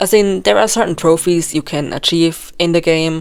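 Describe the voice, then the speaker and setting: Speaking at a fairly quick pace with a non-native accent and ordinary pitch variation, this voice plays over music in the background. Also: woman. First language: not English. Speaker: video game theory youtuber. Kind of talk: voice-over commentary. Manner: occasional halting self-corrections.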